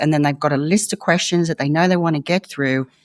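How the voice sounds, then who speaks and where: In a very clean recording with a silent background and a dry, close sound with no echo, a voice with an Australian accent moves at a fairly quick pace with ordinary pitch variation. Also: woman. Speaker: former investigative journalist. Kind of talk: interview conversation.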